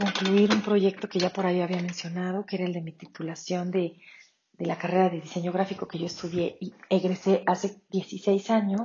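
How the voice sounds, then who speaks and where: The woman talks at a moderate pace. Her intonation is monotone and flat. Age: 40s. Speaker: podcast host. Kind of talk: casual monologue. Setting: home kitchen.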